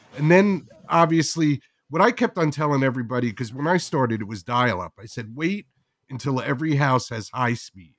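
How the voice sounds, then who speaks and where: This man speaks with a New Jersey accent and lively intonation. He moves at a fairly quick pace, his loudness swinging widely. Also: medium pitch for a man. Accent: New Jersey American. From New Jersey, US. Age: 60s. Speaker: podcast creator. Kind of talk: casual interview chat.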